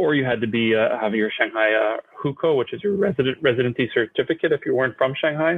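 A man talks very fast with a Canadian accent. His pitch is medium and his loudness stays very even. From Canada. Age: 30s. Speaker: real estate startup CEO. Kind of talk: interview. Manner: halting, many fillers.

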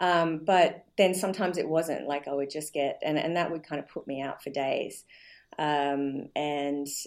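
Very deep, low pitch from a woman, a moderate pace and ordinary pitch variation. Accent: Australian. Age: 40s. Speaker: nutrition practitioner and personal trainer. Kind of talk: interview. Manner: halting, many fillers.

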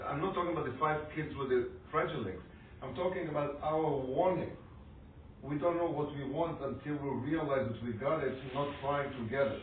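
The speech moves at a moderate pace with ordinary pitch variation amid noticeable background noise. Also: man, fairly high pitch for a man. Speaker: audience member. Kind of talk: class Q&A discussion.

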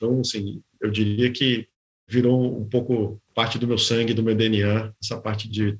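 Somewhat breathy male speech at medium pitch, fairly slow and monotone. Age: 50s. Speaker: business executive, board member. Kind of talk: interview.

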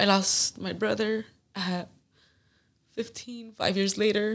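A woman's medium-pitched voice in a Spanish accent, monotone and flat in intonation. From Phoenix, Arizona, Mexican family. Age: 20s. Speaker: professional MMA fighter. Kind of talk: casual chat.

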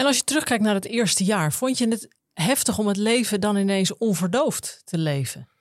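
In a very clean recording with a silent background, a woman speaks at a moderate pace with very even loudness. Hers is an unremarkable speaking voice at a medium pitch, with lively intonation. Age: 40s. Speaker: podcast host and detox coach. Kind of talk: interview.

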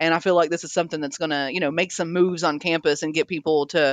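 The speaker talks at a very fast pace. The voice carries an American accent. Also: woman. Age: 30s. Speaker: executive chef. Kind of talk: casual interview.

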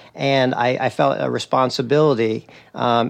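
A man with an American accent at medium pitch, monotone and flat in intonation, over a quiet background. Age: 40s. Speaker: Spanish teacher and touring cyclist. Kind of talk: casual interview. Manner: halting, many fillers.

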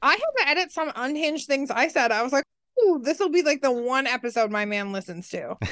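Speaking at a fairly quick pace, a woman uses a high pitch and lively intonation. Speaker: guest co-host. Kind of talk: casual chat.

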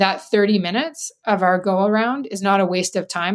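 On a very clean recording with a silent background, a woman with a Canadian accent speaks at a fairly quick pace in an enthusiastic tone, her medium pitch showing ordinary pitch variation. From Northern Alberta, Canada (Grande Prairie). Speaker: nonprofit CEO. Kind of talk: interview.

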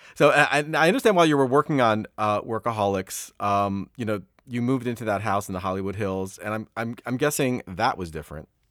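A man with an American accent and an unremarkable speaking voice, medium-pitched, with lively intonation, a fairly quick pace and hardly any pauses, on a very clean, dry, close recording with a silent background and no echo. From US East Coast. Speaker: podcast host. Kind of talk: casual interview.

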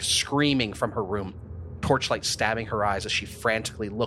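The passage is read aloud in a natural voice.

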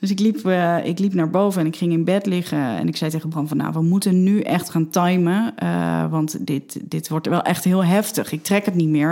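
With noticeable background noise behind her, a woman talks. Her pitch is fairly low and her pace moderate. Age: 30s. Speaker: mother telling her birth story. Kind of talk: personal testimony interview. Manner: halting, many fillers.

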